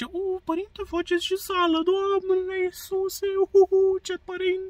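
The speaker adopts a put-on character voice at an extremely high pitch. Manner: mocking, flattering.

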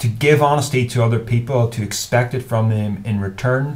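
A somewhat breathy man with a Northern Irish accent. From Northern Ireland. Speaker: YouTuber. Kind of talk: advice monologue to camera. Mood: earnest, thoughtful. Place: home room. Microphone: webcam.

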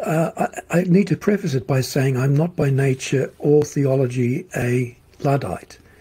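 A man with an Australian accent speaks at a fairly slow pace and a fairly high pitch, with ordinary pitch variation and very even loudness. Noticeable background noise runs underneath. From Australia, Melbourne. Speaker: futurist and social commentator. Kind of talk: interview conversation.

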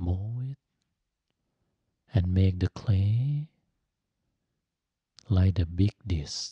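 Soft-spoken and calm, a man with a very deep, low voice and a dark, mellow, somewhat breathy tone talks at a very slow pace with long, frequent pauses and ordinary pitch variation, in a dry sound with no echo over a quiet background. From Thailand. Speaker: Buddhist monk and meditation teacher; meditation teacher. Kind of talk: guided meditation. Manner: slow, calm, soft-spoken. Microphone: studio mic.

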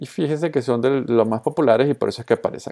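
Speaking fairly quickly in a Colombian accent, a man uses ordinary pitch variation. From Venezuela. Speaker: social media consultor and trainer. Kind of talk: tutorial.

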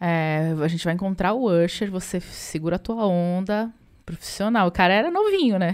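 In a quiet background, a woman speaks at a moderate pace with fairly even intonation. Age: 40s. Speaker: musician and podcast co-host; podcast co-host. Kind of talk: casual chat. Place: home room. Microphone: studio mic.

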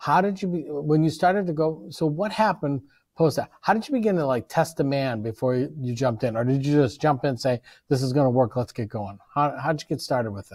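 Somewhat breathy, fairly quick speech from a man with lively intonation against a quiet background. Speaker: professor and event moderator; professor, event moderator. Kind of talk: interview. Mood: friendly, encouraging. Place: classroom. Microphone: video call.

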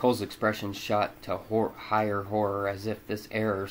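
The speaker reads the text aloud. The voice is natural throughout.

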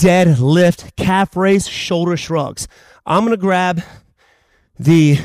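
Against a quiet background, a man with a high pitch comes through in a dry sound with no echo. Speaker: fitness instructor. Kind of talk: workout instruction. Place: gym.

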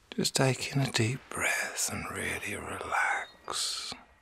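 A man's whisper, gentle and soothing in tone, at a very slow pace. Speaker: reiki master and ASMR artist. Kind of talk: ASMR reiki healing session, guided relaxation. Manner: gentle, whispered, slow, soothing. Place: home room. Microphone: phone near.

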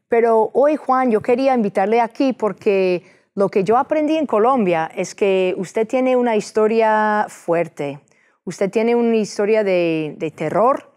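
A woman with an English accent speaks at a fairly slow pace and a fairly high pitch. Her loudness stays very even against a quiet background. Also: lively intonation. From United States. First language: English (speaking Spanish). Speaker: TV host, lawyer and state senator; talk show host. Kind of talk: interview; interview question. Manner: halting with many fillers. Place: studio. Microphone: lapel.

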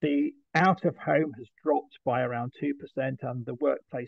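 A man with a British accent at a moderate pace, ordinary pitch variation, and a dry sound with no echo over a quiet background. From UK. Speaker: trade association executive. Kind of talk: presentation. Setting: video call. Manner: halting. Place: home room. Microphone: webcam.

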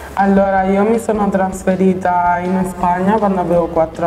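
A woman's voice over light background noise, with audible room echo. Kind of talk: interview answer. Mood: calm, reflective. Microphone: lapel.

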